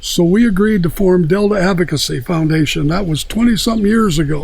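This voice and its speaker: A man's fairly quick speech carries audible echo from the room. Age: 80s+. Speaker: retired rodeo champion and rancher. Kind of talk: interview.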